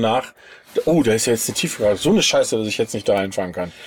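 Ordinary pitch variation marks a man's speech. He goes at a very fast pace. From Sauerland, but moved around a lot. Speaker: podcast host. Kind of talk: casual chat. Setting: inside a camper van.

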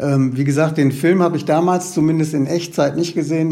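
With audible room echo, a man talks fairly quickly in a dark, mellow tone with fairly even intonation. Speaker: newspaper culture editor and TV critic. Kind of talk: casual interview.

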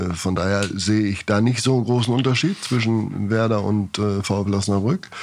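Fairly even intonation from a man at medium pitch and a moderate pace. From northern Germany, near Bremen. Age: 50s. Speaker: goalkeeping coach. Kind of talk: podcast interview.

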